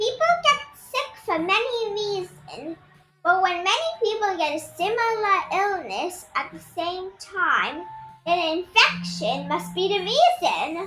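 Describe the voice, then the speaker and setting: Faint music plays in the background. A woman uses a put-on character voice at a fairly slow pace. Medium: read story.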